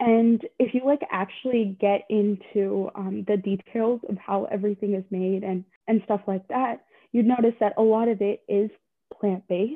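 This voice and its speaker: Using a plain, everyday voice, a woman with an American accent speaks at medium pitch and a moderate pace with fairly even intonation. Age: young. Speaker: university student. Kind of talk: casual interview chat.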